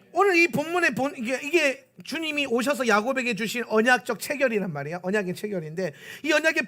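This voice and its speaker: Pitch swings very widely here. The speaker's voice is raised and projected. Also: man. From South Korea, Pohang (Gyeongsang). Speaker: pastor. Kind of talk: sermon.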